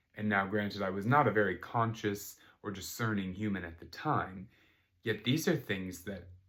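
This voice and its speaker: At a moderate pace, a man with a fairly low pitch speaks with ordinary pitch variation and big swings in loudness. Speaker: wellness podcaster. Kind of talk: personal testimony.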